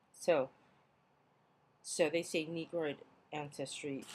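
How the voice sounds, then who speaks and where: A woman mumbles with a Hawaiian accent in a very deep, low voice. She goes very slowly with fairly even intonation. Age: 40s. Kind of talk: casual video log reading of an old school report. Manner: mumbling, rambling.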